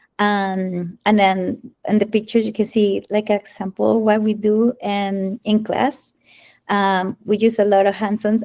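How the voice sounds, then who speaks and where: In a very clean recording with a silent background and a dry, close sound with no echo, a woman with a Spanish accent speaks at a fairly slow pace in a dark, mellow tone. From Colombia. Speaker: Spanish teacher. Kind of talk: presentation at school open house. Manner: halting, many fillers and restarts.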